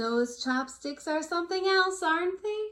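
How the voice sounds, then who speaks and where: Putting on a squeaky character voice, a woman speaks at a moderate pace at an extremely high pitch, her tone warm and gentle and her intonation lively. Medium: read story. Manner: warm, gentle.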